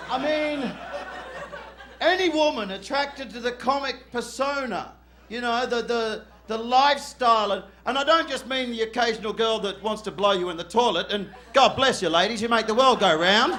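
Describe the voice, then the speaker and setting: Raised and projected, a man's voice with an Australian accent sits at an extremely high pitch, with ordinary pitch variation, a moderate pace and audible room echo. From Western Australia, Perth. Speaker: stand-up comedian. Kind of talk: stand-up. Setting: stage with audience. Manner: animated.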